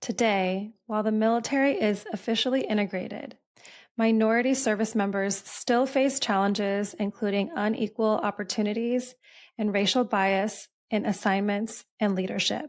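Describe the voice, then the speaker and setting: In a very clean recording with a silent background, a woman talks at a moderate pace in a plain, everyday voice, fairly high-pitched with ordinary pitch variation and very even loudness. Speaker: podcast host. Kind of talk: narrated historical context.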